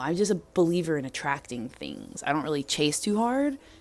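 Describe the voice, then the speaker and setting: A soft-spoken woman with a very deep, low pitch, an animated tone, very wide pitch swings and a moderate pace. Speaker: DJ and vlogger. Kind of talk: casual vlog monologue.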